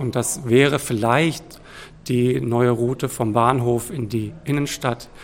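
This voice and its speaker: The voice belongs to a man and carries vocal fry. His intonation is fairly even. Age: 30s. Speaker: teacher and volunteer cycling officer. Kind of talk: radio interview.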